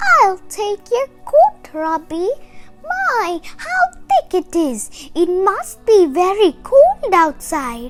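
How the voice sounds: A put-on character voice moves at a slow pace with few pauses and big pitch swings, while faint music plays in the background.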